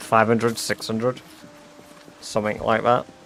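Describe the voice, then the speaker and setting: A man with a medium-pitched voice talks at a moderate pace over music playing in the background. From England. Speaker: gaming streamer. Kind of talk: live stream chat. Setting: live stream. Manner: casual.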